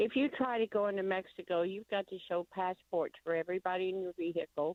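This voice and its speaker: Talking very fast, a woman with an American accent keeps a medium pitch. Her pitch varies in an ordinary way. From Missouri. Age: 70s. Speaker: caller. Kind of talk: call-in radio talk.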